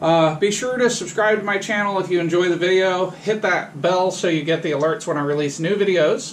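A man with a high voice for a man, heard over light background noise. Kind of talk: casual tutorial vlog. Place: garage. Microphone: camera far.

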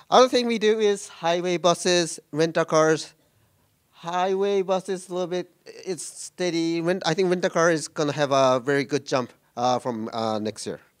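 Speaking at a moderate pace with a Japanese accent, a man has a high-pitched voice. He leaves long, frequent pauses against a quiet background. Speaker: tech executive. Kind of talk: conference talk. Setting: stage with audience. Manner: halting, many fillers. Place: meeting room.

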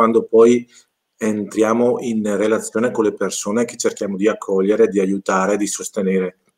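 A man's fairly low voice at a moderate pace, flat and monotone, over a quiet background. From northern Italy (Lombardy). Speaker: charity volunteer; guest. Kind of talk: testimony. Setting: video call. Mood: calm, reflective. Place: home room.

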